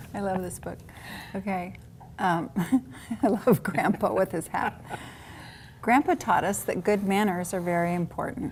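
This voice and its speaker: A woman speaks at a moderate pace and medium pitch, with ordinary pitch variation. She leaves long, frequent pauses. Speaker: adult literacy tutor. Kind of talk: tutoring session, modeling reading aloud.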